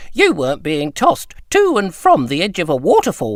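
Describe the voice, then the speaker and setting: A man puts on a character voice with a high pitch. He talks at a moderate pace. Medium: read story.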